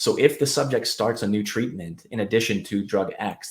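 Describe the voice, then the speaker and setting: Using an ordinary speaking voice at a medium pitch, a man talks at a moderate pace. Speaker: clinical research educator. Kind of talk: live webinar explanation. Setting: live online stream.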